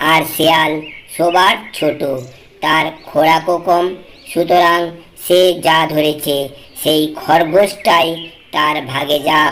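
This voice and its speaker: A cartoonish character voice at middle pitch and a very slow pace. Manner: deferential, polite.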